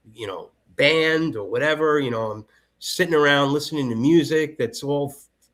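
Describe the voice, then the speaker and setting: Recorded very cleanly against a silent background, a man speaks at a fairly high pitch with ordinary pitch variation and big swings in loudness. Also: moderate pace. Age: 50s. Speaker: conspiracy commentator guest. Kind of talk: casual chat. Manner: halting, many repetitions.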